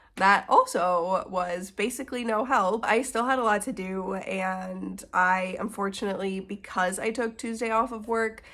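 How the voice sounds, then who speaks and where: The recording is very clean, with a silent background. A woman of medium pitch speaks at a moderate pace in a bright, sharp tone with fairly even intonation. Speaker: book vlogger. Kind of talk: casual vlog. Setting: at home on the couch. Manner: chatty.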